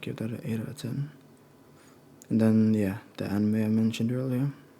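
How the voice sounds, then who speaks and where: Soft-spoken and relaxed, a man talks at a moderate pace in a medium pitch with a dark, mellow tone. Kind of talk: casual talk to camera, monthly media recap. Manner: soft-spoken, relaxed.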